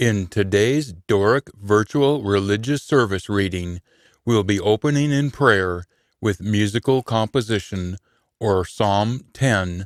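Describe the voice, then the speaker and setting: With an ordinary speaking voice, a man talks at a fairly low pitch, keeping his loudness very even and his pitch variation ordinary. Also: fairly slow pace, very clean recording, silent background. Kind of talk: scripture reading.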